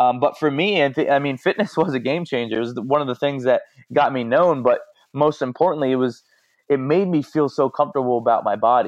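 Against a quiet background, a man talks at a very fast pace and fairly high pitch with ordinary pitch variation. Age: 20s. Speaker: motivational speaker and bodybuilder. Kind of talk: casual interview. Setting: remote call from Hawaii. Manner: halting, frequent repeated words.

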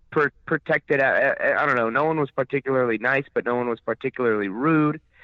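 Speaking at medium pitch with ordinary pitch variation, a man talks with an American accent. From San Diego, California. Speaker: professional wrestler. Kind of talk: casual interview. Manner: energetic.

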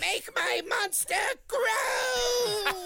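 Shouting in a put-on character voice at an extremely high pitch, the speaker is heard over light background noise. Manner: shrill.

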